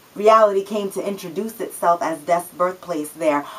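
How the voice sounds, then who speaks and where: Noticeable background noise fills the recording. The talking proceeds at a moderate pace. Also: woman. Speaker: spoken word poet. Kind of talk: spoken word poetry performance.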